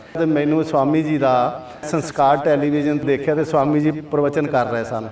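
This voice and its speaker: A man speaks at a fairly high pitch with monotone, flat intonation. Audible room echo and noticeable background noise fill the recording. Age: 60s. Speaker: patient. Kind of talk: testimony.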